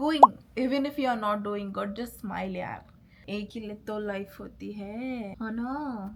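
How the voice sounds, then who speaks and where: The speaker is a woman. The rise and fall of her pitch is ordinary. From India, Pune. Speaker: lifestyle vlogger. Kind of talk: casual vlog chat, Hindi-English code-switching. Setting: at home, bedroom. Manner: relaxed, chatty.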